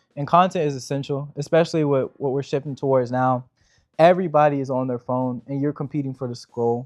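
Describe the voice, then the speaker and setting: A man speaks in a normal speaking voice at a fairly high pitch with fairly even intonation. He moves at a fairly quick pace against a quiet background. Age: 20s. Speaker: real estate business owner. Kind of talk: interview Q&A answers. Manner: casual, filler-heavy (like, you know).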